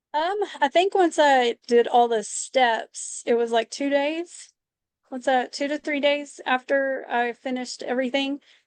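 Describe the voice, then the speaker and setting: In a Texas accent, a woman talks at a fairly slow pace with a high pitch and ordinary pitch variation, recorded with a dry, close sound with no echo against a quiet background. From Texas, Lubbock. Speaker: hairdresser and interior designer. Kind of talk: interview testimony.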